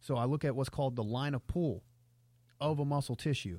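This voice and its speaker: On a very clean recording with a silent background, a man speaks at a fairly quick pace. His medium-pitched voice is dark and mellow, with fairly even intonation. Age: 30s. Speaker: sports performance coach. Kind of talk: casual chat.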